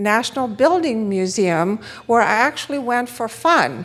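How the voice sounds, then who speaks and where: Speaking very slowly with a Romanian accent, a woman uses lively intonation at a fairly high pitch. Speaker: economist and conference speaker. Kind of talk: conference talk.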